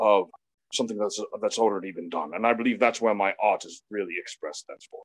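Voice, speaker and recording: The audio is dry and close, free of echo. The voice belongs to a man. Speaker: professional wrestler. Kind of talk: interview. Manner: well spoken.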